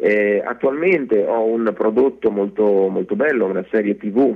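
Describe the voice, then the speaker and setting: An ordinary speaking voice from a man, fairly low in pitch, at a fairly slow pace with ordinary pitch variation. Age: 40s. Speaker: actor. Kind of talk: radio interview.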